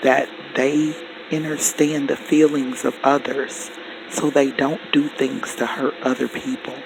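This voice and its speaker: Very slowly and with fairly even intonation, a man with a fairly high pitch speaks against noticeable background noise. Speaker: spiritual teacher. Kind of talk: teaching monologue.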